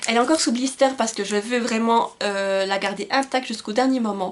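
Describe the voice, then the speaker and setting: Against noticeable background noise, a woman talks at a fairly quick pace in a fairly high voice with fairly even intonation. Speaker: book youtuber. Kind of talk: casual vlog talk with blurb reading. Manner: hesitant, many fillers.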